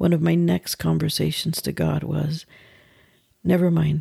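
A woman speaks at a very slow pace. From West Texas. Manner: animated, varying volume, humorous.

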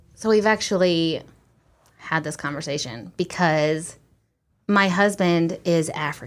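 Here a woman talks in an ordinary speaking voice at a moderate pace. Her pitch is fairly low and varies in an ordinary way. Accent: American. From US small town. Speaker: interview guest married to a Ugandan man. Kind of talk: casual interview.

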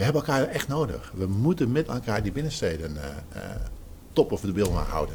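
Speaking at a fairly quick pace, a man with a fairly low pitch swings very widely up and down. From Zeeland, Netherlands. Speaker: retail trade association director. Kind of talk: interview.

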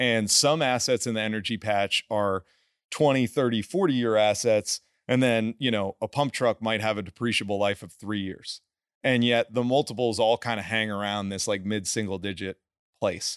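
At a moderate pace, a man with an unremarkable speaking voice talks fairly low, his intonation fairly even. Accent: American. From New Jersey. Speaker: energy investor and former investment banker. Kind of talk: casual interview chat.

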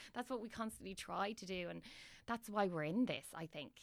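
In a Dublin accent, a woman speaks at a moderate pace. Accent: Irish (Dublin). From Ireland. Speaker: actress. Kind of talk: casual interview chat.

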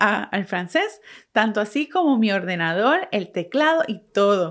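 A woman talks in a Puerto Rican accent. Her pitch sits fairly high. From Puerto Rico. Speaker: podcast host, photographer and marketing strategist. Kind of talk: solo podcast monologue.

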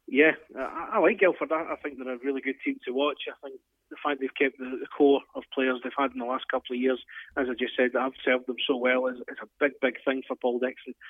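He has a normal speaking voice at a medium pitch for a man. The man keeps a fairly quick pace with fairly even intonation. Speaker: ice hockey analyst. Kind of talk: casual sports analysis chat.

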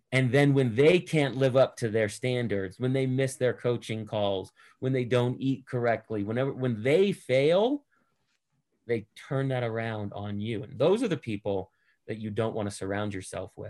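A man with an American accent in an ordinary speaking voice, medium in pitch, ordinary pitch variation, moderate pace, and a quiet background. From Boston, US. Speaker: entrepreneur and investor. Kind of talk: casual interview.

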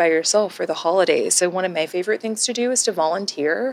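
This is an unremarkable speaking voice, a woman's at medium pitch with ordinary pitch variation. She talks with an American accent. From Texas. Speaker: podcast co-host. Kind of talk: casual chat.

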